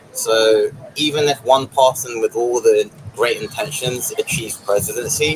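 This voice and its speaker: A man talks at a moderate clip while background noise is clearly present. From England. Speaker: passerby interviewee. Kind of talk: street interview.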